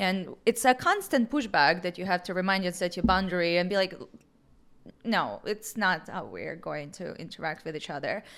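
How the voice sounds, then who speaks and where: Woman with an Eastern European accent, medium pitch and ordinary pitch variation, moderate pace, big swings in loudness, very clean recording with a silent background. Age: young. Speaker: real estate agent. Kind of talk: casual chat.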